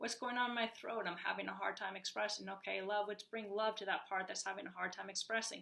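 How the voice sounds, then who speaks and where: A woman at a medium pitch speaks very fast, with hardly any pauses. Her intonation is flat and monotone over noticeable background noise. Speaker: healing coach. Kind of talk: motivational talk to camera.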